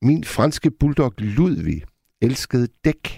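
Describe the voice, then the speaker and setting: A man speaks with a dark, mellow tone. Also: dry, close sound with no echo. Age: 50s. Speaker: radio host. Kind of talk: late-night call-in radio. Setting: studio.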